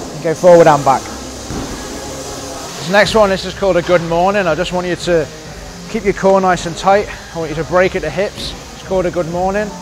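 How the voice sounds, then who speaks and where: Over faint music in the background, a man with a high pitch speaks at a moderate pace with fairly even intonation. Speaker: fitness coach. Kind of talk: tutorial. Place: gym. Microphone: lapel.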